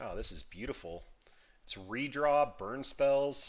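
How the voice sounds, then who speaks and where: A man speaks at a medium pitch. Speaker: gaming streamer. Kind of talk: live gameplay commentary. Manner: fast; casual.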